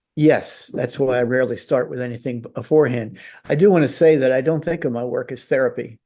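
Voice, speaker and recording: A man talks at a very fast pace in a dark, mellow tone. His medium pitch shows ordinary pitch variation. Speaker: artist. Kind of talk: interview. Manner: halting.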